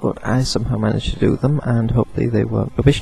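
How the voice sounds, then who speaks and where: A man at a medium pitch and a fairly quick pace, with ordinary pitch variation over noticeable background noise. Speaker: video blogger. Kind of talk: casual vlog monologue. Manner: rambling with hesitations.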